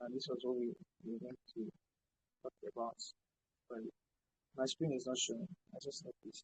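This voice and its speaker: The voice is somewhat breathy, with ordinary pitch variation and a fairly quick pace broken by long, frequent pauses. The sound is dry and close with no echo. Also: man, medium pitch for a man. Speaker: video editing tutor. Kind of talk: online class tutorial. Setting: video call with screen share.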